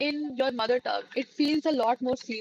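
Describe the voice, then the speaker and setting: A woman's high voice with an Indian accent and lively intonation, in a dry, close sound with no echo. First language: Hindi. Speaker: live streamer. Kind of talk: casual chat.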